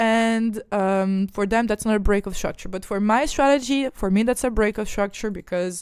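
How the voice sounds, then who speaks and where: In a very clean recording with a silent background, a woman with a slight Quebec accent speaks at a moderate pace, her fairly high pitch showing ordinary variation. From Ukraine. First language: not English; speaks French daily, Ukrainian origin. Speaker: trading educator. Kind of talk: live-streamed chart analysis tutorial. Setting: live stream with screen-shared charts. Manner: casual, repetitive with fillers and restarts.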